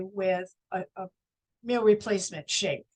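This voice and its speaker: A woman is speaking. Her pace is very slow. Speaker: wellness business owner. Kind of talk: interview.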